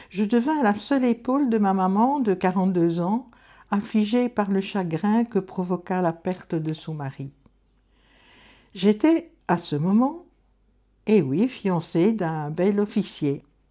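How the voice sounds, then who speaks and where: Speaking very slowly with long, frequent pauses, a woman with a medium pitch, a dark, mellow tone and lively intonation is heard over a quiet background. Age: 70s. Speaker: retired schoolteacher. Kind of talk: testimony, reading a prepared life story.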